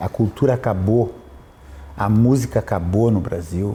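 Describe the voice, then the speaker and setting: A man speaks fairly slowly in a fairly low pitch, his tone dark and mellow and somewhat breathy. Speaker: opera tenor. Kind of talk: interview conversation. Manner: animated.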